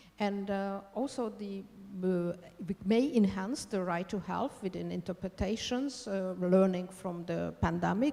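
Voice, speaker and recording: A woman's medium-pitched voice with a Hungarian accent, fairly slow in pace and with ordinary pitch variation. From Hungary. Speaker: law professor. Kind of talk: conference talk. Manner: halting.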